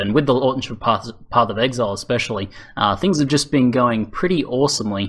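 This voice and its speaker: Bright and sharp in tone, a man speaks with an Australian accent at a fairly quick pace. His pitch is medium, with ordinary variation. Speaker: gaming YouTuber. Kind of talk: interview Q&A. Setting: voice chat server.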